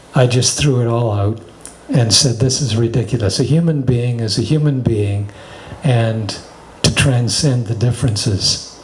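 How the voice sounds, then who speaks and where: Spoken at a moderate pace, the clip carries noticeable background noise and audible room echo. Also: man, medium pitch for a man, ordinary pitch variation. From Canada, Toronto. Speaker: spiritual teacher. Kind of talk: casual chat.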